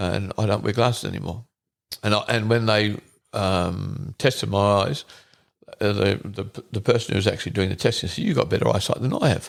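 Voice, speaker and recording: A man with an Australian accent talks at a fairly quick pace. His fairly low pitch carries vocal fry and ordinary pitch variation. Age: 70s. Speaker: hunter, father of the co-host. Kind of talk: casual chat. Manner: halting.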